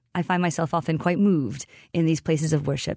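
A woman with an American accent, fairly low in pitch, at a moderate pace, a normal speaking voice in a dry, close sound with no echo and a quiet background. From Massachusetts, US. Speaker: tour guide and saints scholar. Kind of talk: interview.

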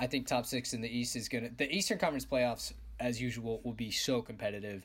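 A man speaks in an animated tone. His voice has vocal fry. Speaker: podcast host. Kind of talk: casual banter podcast. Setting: remote recording. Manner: animated, joking.

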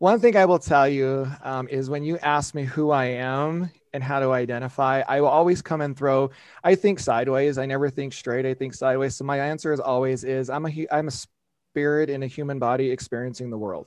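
A man with an unremarkable speaking voice and an American accent talks at a fairly quick pace, his fairly high pitch carrying a fairly even intonation. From rural southeastern Colorado. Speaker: life coach and assistant principal. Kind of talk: casual interview.

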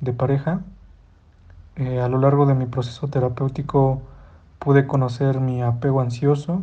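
A man speaks at a medium pitch in a central Mexican accent, his tone dark and mellow. His intonation is fairly even, and his voice is somewhat breathy. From Mexico, Hidalgo. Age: 20s. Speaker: listener sending voice message. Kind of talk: recorded voice message. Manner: formal.

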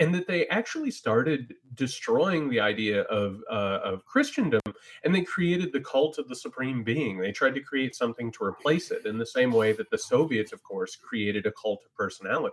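Moderately paced speech from a man, its loudness rising and falling widely. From US Midwest, small-town Indiana. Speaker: writer and political analyst. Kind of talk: political discussion.

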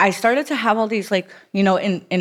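Here is a plain, everyday voice from a woman with an American accent. She speaks at a moderate pace with ordinary pitch variation. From South Florida (Broward County). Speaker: recovering addict sharing her story. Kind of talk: testimony.

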